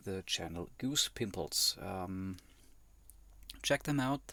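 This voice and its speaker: With a German accent, a man of fairly low pitch speaks in a bright, sharp tone with lively intonation. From Germany. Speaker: YouTube reactor. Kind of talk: reaction commentary. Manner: hesitant, many fillers.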